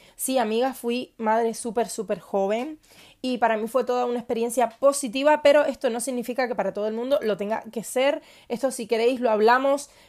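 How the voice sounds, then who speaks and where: The very clean recording with a silent background captures a woman at a fairly high pitch, speaking at a moderate pace with ordinary pitch variation. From Cuba. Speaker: podcast host. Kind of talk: personal monologue. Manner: hesitant with fillers.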